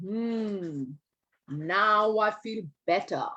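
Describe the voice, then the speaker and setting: A put-on character voice is pitched fairly high. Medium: read story. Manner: grumpy, rude.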